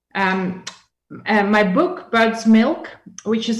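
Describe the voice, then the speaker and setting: A woman speaks at a very slow pace in a fairly high, somewhat breathy voice with ordinary pitch variation, and audible room echo surrounds her. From Russia, Yekaterinburg. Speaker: business expert and guest lecturer. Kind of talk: lecture.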